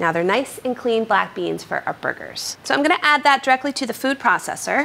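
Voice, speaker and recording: A woman talks at a fairly quick pace with lively intonation. Light background noise can be heard. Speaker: cooking show host. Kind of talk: tutorial. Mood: cheerful, playful. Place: kitchen.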